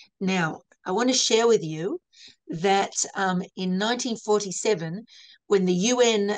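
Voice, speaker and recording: A woman's voice with an Australian accent. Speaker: lecturer. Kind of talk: lecture. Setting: video call. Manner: halting.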